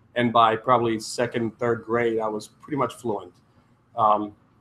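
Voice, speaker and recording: With a Croatian accent, a man speaks at a moderate pace. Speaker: entrepreneur. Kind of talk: conference talk. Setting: stage with audience.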